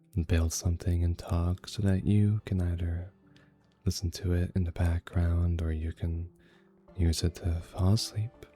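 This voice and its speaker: Music plays in the background as a man with a very deep, low pitch speaks at a very slow pace. His tone is calm. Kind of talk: relaxing gameplay commentary. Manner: calm, unhurried.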